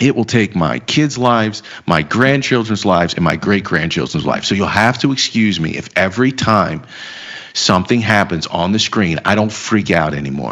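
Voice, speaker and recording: Over noticeable background noise, a man with an American accent speaks at a fairly low pitch and a moderate pace, his tone animated and his intonation lively. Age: 30s. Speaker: financial market commentator. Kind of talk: casual chat.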